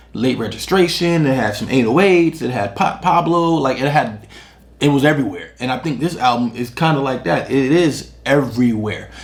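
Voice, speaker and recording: A man talks at medium pitch and a moderate pace, with ordinary pitch variation. Audible room echo and noticeable background noise fill the recording. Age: 30s. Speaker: music reviewer. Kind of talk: casual album review. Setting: on camera at home, drinking beer. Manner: halting, many fillers and repetitions.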